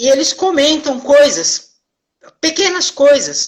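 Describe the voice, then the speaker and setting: A high-pitched woman speaking at a very slow pace. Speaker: therapist hosting live stream. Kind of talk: casual live stream talk. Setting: live video stream.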